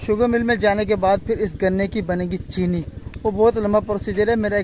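Monotone, flat delivery at a moderate pace, with a dry, echo-free sound and noticeable background noise. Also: man. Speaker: village vlogger. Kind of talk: casual vlog chat. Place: open country. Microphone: phone near.

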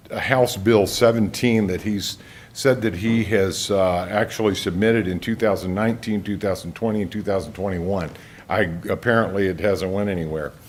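Fairly even intonation with audible room echo. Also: man, fairly low pitch for a man, moderate pace. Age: 60s. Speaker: investigative reporter giving public comment. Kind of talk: public comment at council meeting. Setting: county council meeting.

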